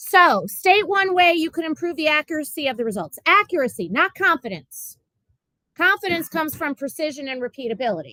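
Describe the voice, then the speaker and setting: In a raised, projected voice with a bright, sharp tone, a woman speaks at a high pitch with very wide pitch swings, the sound dry with no echo and the background quiet. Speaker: physics teacher. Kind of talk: classroom lecture. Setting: classroom. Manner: fast. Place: classroom. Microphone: webcam.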